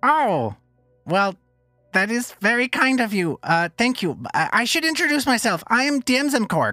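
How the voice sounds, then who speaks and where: Over faint background music, a man does a put-on character voice at an extremely high pitch, speaking at a moderate pace. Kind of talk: comic character voice in actual play. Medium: actual play. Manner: rambling, sheepish, apologetic; wry, resigned.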